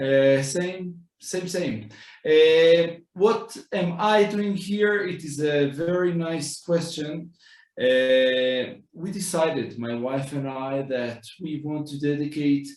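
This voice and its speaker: At a very slow pace, a man with an Israeli accent speaks at a fairly high pitch with ordinary pitch variation, and the room's echo is audible. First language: Hebrew. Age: 30s. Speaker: rabbi. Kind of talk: walking tour talk. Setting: walking tour of community center.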